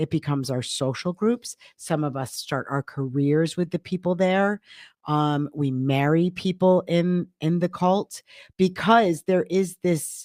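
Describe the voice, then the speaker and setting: A woman's fairly low voice at a fairly slow pace with ordinary pitch variation, dry and close with no echo, on a very clean recording with a silent background. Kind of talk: casual podcast chat. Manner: loud.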